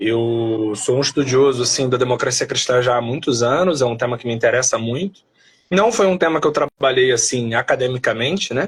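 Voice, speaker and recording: Somewhat breathy, a man talks fairly quickly with ordinary pitch variation. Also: medium pitch for a man. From Brazil, Rio de Janeiro. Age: 30s. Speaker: philosopher and political movement leader. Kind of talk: live stream interview.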